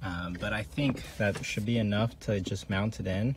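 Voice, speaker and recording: Over noticeable background noise, a man speaks with a fairly low pitch in a dry sound with no echo. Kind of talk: tutorial. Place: car.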